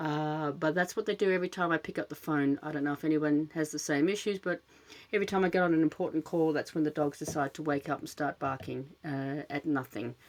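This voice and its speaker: A woman with an Australian accent speaks in a very deep, low pitch at a fairly quick pace. The recording is very clean, with a silent background. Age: middle-aged. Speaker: podcast host, dog rescuer. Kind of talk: casual monologue. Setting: home closet with cushions. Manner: fidgety, many filler words.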